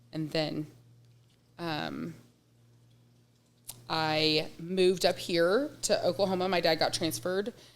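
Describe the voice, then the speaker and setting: A woman's fairly low voice with vocal fry and an American accent, very slow, with long, frequent pauses, ordinary pitch variation, and a very clean recording against a silent background. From East Texas (Waskom, near Shreveport). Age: 40s. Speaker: business owner. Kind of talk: interview. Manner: hesitant, many fillers.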